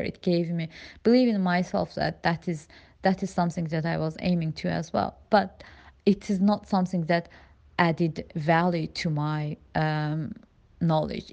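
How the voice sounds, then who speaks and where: A woman with a non-native accent, fairly low in pitch, dark and mellow in tone, with ordinary pitch variation at a moderate pace against a quiet background. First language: not English. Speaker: immigrant sharing personal story. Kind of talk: personal testimony. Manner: halting, many fillers.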